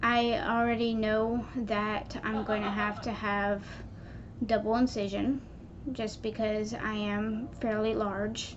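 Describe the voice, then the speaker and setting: Amid audible room echo, a woman speaks very slowly at a fairly high pitch with monotone, flat intonation. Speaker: vlogger. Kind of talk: personal vlog.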